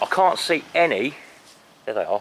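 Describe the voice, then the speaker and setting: A man speaks in a southern English accent. There is noticeable background noise. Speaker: walking vlogger, local history. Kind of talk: casual outdoor walking commentary. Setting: outdoors, churchyard. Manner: conversational, some hesitations and repeats.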